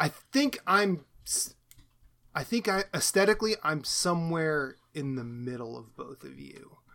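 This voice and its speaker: Bright and sharp in tone, a man with an American accent speaks at a fairly high pitch. His pitch swings very widely and his loudness shifts a lot. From US Midwest, Iowa. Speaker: podcast co-host. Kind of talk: casual chat.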